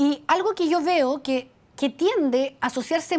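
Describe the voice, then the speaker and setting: A woman is speaking. Her intonation is lively. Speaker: psychologist and life coach. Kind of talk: webinar talk. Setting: video call. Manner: fast.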